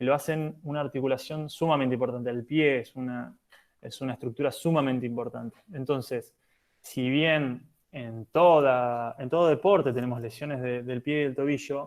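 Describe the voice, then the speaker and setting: Here a man talks at a moderate pace with a medium pitch and fairly even intonation. His loudness swings a lot. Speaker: physiotherapist for national handball teams. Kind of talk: lecture. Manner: hesitant, many fillers.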